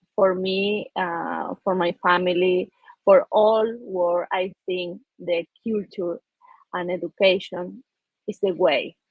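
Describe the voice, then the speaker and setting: This woman talks at a very slow pace with an Argentine accent. Her pitch is medium and her intonation fairly even. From Argentina. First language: Spanish. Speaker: peace ambassador, businesswoman. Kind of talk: panel discussion. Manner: halting, repetitive.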